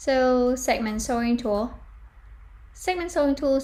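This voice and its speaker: A woman speaks at a fairly slow pace in a dark, mellow tone that is somewhat breathy, with lively intonation. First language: not English. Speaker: fashion design tutor. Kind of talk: tutorial. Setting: live stream.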